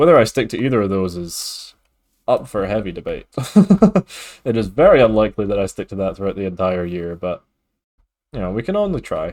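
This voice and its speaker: A man talks fairly quickly in a Scottish accent, yet leaves long, frequent pauses. The very clean recording has a silent background. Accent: mild Scottish. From Scotland. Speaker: streamer. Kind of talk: casual gaming livestream chat.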